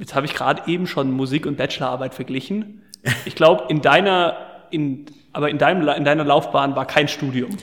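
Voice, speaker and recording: At a fairly quick pace, a man talks with a plain, everyday voice. His pitch is fairly high, with ordinary variation. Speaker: podcast host. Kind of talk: casual interview. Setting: large empty side room at concert venue. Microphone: room echo and open window audible.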